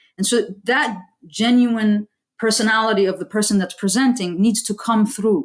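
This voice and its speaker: A woman with an American accent speaks at a moderate pace, her fairly high, somewhat breathy voice held to fairly even intonation. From US, Saudi parents. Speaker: aerospace engineer and STEM educator. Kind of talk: interview.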